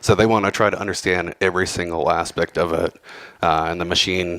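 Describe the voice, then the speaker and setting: A man speaks with an American accent in a very deep, low pitch. The sound is dry and close, with no echo. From Texas, Houston. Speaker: cybersecurity professional, conference speaker. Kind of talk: conference talk. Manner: casual, many fillers.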